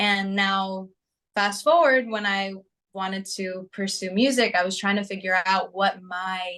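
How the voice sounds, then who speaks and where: A woman with a New Jersey accent speaks at a medium pitch and a fairly slow pace. Her tone is bright and sharp, her intonation fairly even. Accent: American (New Jersey). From US, New Jersey. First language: Greek. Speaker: singer-songwriter. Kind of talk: interview.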